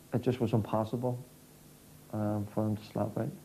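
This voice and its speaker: A man speaks in a flat monotone over light background noise. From Northern Ireland. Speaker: former political prisoner. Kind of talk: interview testimony. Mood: grave, reflective.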